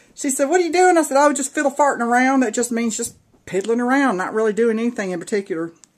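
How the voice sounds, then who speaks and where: A woman talks very fast at a fairly high pitch. Her pitch swings very widely. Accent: strong Southern US. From US South, Georgia. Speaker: craft video creator. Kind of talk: casual show-and-tell video. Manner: animated.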